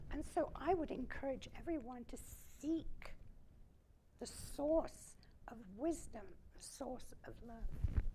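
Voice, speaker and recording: Someone whispers at a very slow pace, with long, frequent pauses. The loudness swings widely, and room echo is audible. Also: woman. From Germany. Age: 90s. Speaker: Holocaust survivor. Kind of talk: fireside chat. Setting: stage with audience.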